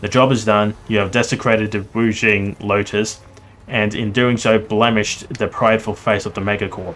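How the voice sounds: The speaker uses a natural reading voice, and the intonation remains fairly even.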